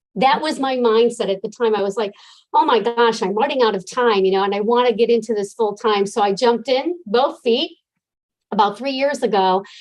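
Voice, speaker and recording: A woman with an American accent talks at a fairly quick pace in a plain, everyday voice with a fairly high pitch. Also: ordinary pitch variation. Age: 60s. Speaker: life coach. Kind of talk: interview.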